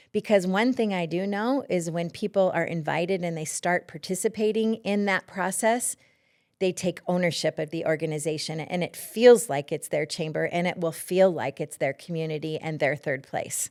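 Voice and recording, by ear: A woman speaks with a fairly low pitch, a slightly mellow tone and ordinary pitch variation, in an American accent. Her pace is moderate, and the recording is very clean with a silent background.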